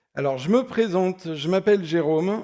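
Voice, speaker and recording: Recorded very cleanly against a silent background, a man with a dark, mellow tone speaks at a fairly slow pace. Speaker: software architect, conference speaker. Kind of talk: conference talk. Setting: stage with audience. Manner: loud; hesitant, many fillers.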